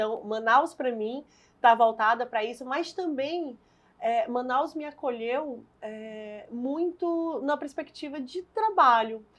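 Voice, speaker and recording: A woman's high-pitched voice at a very slow pace, ordinary pitch variation, quiet background. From Brazil, Fortaleza, Ceará. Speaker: politician, party leader and lawyer. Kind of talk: interview.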